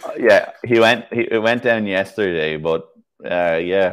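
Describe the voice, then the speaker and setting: A man speaks in a Dublin accent. His pace is fairly slow. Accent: Irish (Dublin). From Ireland. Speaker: classic car mechanic YouTuber. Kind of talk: casual live-stream chat. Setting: online live stream.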